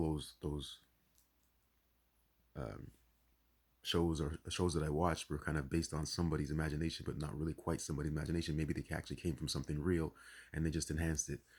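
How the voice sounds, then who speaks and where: Talking at a fairly quick pace, a man has a very deep, low pitch with vocal fry and monotone, flat intonation. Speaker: spiritual vlogger. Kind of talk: casual monologue. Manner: fast; halting.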